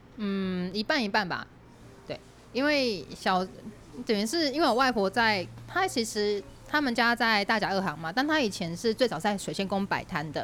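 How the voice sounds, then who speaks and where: Lively in intonation, a woman with a fairly high pitch and a normal speaking voice talks at a moderate pace. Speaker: podcast host, guest on another show. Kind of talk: casual chat. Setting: cafe.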